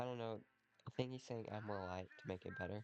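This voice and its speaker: A man talks at a moderate speed. Music is playing behind him. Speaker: hobbyist 3D learner. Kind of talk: casual talk to camera.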